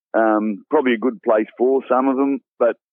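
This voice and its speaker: A man with a strong Australian accent, medium pitch, fairly even intonation and a moderate pace. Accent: broad Australian. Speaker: bush cook and cookbook author. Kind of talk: casual interview chat.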